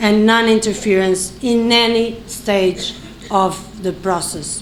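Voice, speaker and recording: In a room with audible echo and noticeable background noise, a woman speaks with a fairly high pitch. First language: non-English. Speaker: election observation mission head. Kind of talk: press conference statement. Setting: press conference, live streamed. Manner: halting, with fillers; formal.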